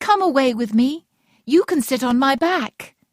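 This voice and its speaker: A put-on character voice sounds female and is pitched high. It moves at a moderate pace. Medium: read story.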